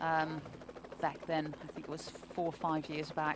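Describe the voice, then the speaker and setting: A woman talks at a moderate pace in a very deep, low voice. Noticeable background noise runs underneath. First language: not English. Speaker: cycling race commentator. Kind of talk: live commentary.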